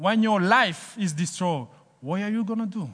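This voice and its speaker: A man speaks in a raised, projected voice with a bright, sharp tone. His pitch is high and his pace fairly slow. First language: French. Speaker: guest preacher. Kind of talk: sermon.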